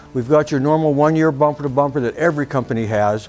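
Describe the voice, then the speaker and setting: Faint music plays in the background. A man speaks very fast with fairly even intonation. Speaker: RV salesperson. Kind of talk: product walk-around presentation. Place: shop. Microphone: lapel.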